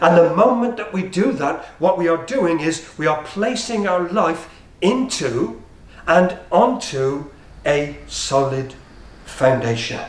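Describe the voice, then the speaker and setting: With audible room echo and noticeable background noise, a man speaks very slowly at a high pitch, his voice swinging very widely in pitch. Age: 60s. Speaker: preacher. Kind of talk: sermon.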